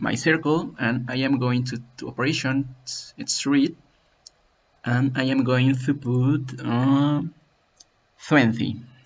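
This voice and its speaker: This man's pitch is medium. He talks very slowly. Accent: Spanish. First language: Spanish. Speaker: CAD software tutorial maker. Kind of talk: tutorial. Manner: halting.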